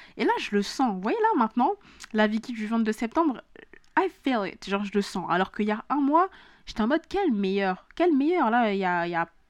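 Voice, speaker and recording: A woman talks at a moderate pace, her fairly high pitch making very wide swings. The sound is dry and close, with no echo. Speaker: podcast host. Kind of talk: motivational solo talk. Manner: casual, mixes in English phrases.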